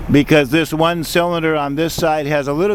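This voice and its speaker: Against noticeable background noise, a man with a fairly high pitch talks very fast with fairly even intonation. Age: 60s. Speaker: equipment dealer. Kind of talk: sales demonstration. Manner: casual.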